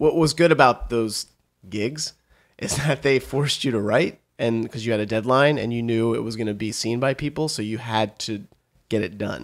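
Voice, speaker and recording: A man with an American accent and an unremarkable speaking voice talks at a medium pitch and moderate pace. His pitch variation is ordinary, in a very clean recording with a silent background. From western Pennsylvania, near Pittsburgh. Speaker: comedy writer. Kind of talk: interview.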